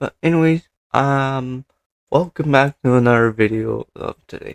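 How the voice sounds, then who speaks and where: Heard in a dry, close sound with no echo, a man speaks at medium pitch and a fairly slow pace, with ordinary pitch variation and big swings in loudness. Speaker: anime commentary youtuber. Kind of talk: casual commentary vlog. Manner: halting, stumbling over words.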